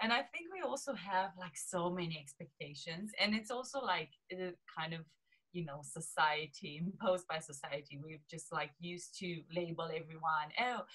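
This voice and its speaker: A woman's fairly low, bright, sharp voice with a Romanian accent, lively intonation and moderate pace. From Romania, small southeast city. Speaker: lifestyle coach. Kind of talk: interview chat.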